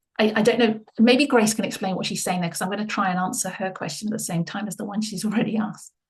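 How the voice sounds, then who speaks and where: A woman's fairly high, somewhat breathy voice at a very fast pace, with hardly any pauses and fairly even intonation. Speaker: Bible study leader. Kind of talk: group Bible study discussion.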